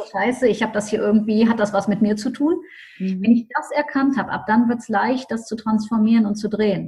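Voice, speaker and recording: Fairly high for a woman, her speech is an ordinary speaking voice with ordinary pitch variation at a fairly quick pace. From Düsseldorf, Germany. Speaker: mental coach and business mentor. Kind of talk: interview.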